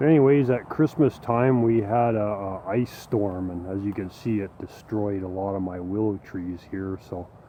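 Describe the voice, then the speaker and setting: With ordinary pitch variation, the man talks at a moderate pace. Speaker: YouTuber, hobby farmer and musician. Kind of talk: casual vlog talk.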